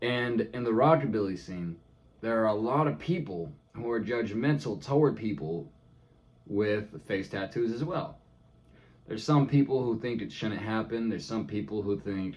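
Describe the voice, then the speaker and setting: At a moderate pace, a man with a medium pitch talks with lively intonation. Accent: American. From California. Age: 20s. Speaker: vlogger. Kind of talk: casual vlog monologue. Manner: animated.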